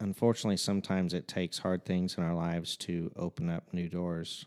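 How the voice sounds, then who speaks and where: A man speaks in a very deep, low, monotone, flat voice. The sound is dry and close with no echo, on a very clean recording with a silent background. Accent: Midwestern American. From Southern Illinois, Fairfield. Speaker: worship leader. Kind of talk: casual chat.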